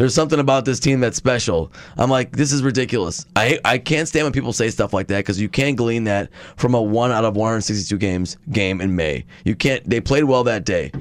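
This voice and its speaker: An unremarkable speaking voice with an American accent moves at a fairly quick pace, with very even loudness and ordinary pitch variation. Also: man, medium pitch for a man. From Milwaukee area, Wisconsin. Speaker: sports podcast co-host. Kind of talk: casual chat.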